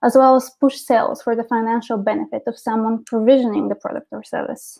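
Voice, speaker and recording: A woman's very fast, fairly high-pitched voice with a Bulgarian accent, dark and mellow in tone, monotone and flat, with big swings in loudness. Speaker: marketing director. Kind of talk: presentation. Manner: hesitant, many fillers.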